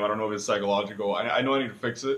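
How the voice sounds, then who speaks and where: A man with a Cuban accent and ordinary pitch variation. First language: Spanish. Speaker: student. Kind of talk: self-reflection video. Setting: alone speaking to camera. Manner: hesitant, many fillers.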